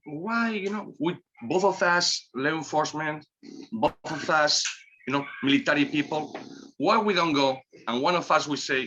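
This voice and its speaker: A man speaks with a Spanish accent at a moderate pace. His intonation is lively. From Spain, Basque Country. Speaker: cigar company owner. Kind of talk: casual chat.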